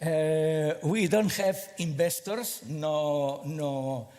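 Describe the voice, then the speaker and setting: With a non-native accent, a man speaks at a fairly high pitch with ordinary pitch variation, and audible room echo surrounds his voice. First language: Spanish or Catalan. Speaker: small space company representative. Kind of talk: conference presentation. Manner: halting, many fillers and repeats.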